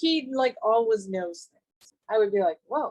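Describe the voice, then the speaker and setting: Very wide pitch swings at a moderate pace, in a dry, close sound with no echo. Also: woman. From England. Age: 60s. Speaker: author. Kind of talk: casual chat. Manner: animated.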